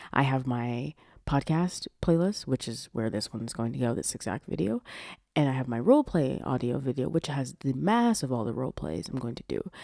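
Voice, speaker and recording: A woman with a very deep, low pitch and a dark, mellow tone talks at a fairly quick pace with lively intonation, in a very clean recording with a silent background and a dry, close sound with no echo. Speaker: podcast host and audio roleplay creator. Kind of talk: casual podcast monologue.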